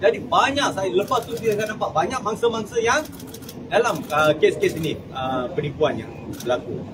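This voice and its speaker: Noticeable background noise sits behind a man with a high voice. He moves at a moderate pace with very wide pitch swings. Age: 60s. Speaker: scam victim giving testimony. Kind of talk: testimony. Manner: halting.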